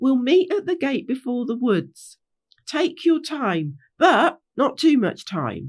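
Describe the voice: A woman puts on a character voice, pitched high with big pitch swings. She talks at a slow pace.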